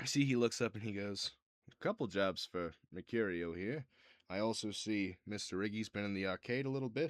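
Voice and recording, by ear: Ordinary pitch variation and a quiet background, with reading aloud in a natural voice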